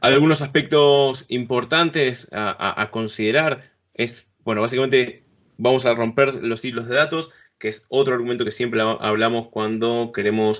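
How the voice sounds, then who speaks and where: Using a plain, everyday voice, a man speaks at a medium pitch and a moderate pace with fairly even intonation. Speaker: conference speaker on business software. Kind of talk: technical presentation. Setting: remote talk at a conference event.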